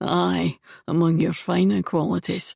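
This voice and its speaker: A gruff, raspy put-on character voice speaks at a low pitch in a Scottish accent. The pace is moderate and the background quiet. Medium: read story. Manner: blunt, warm.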